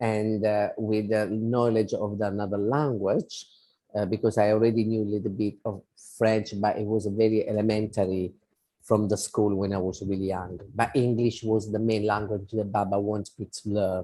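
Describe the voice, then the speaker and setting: In an Italian accent, a man speaks with monotone, flat intonation. His fairly low pitch has a dark, mellow tone. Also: moderate pace. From Italy. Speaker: spiritual devotee and volunteer. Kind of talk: interview. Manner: halting.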